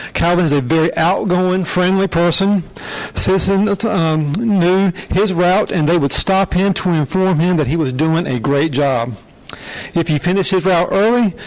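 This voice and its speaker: Speaking at a moderate pace, a man with a high voice keeps his loudness very even and his pitch variation ordinary. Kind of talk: ceremonial recognition speech. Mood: warm, appreciative. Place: hall.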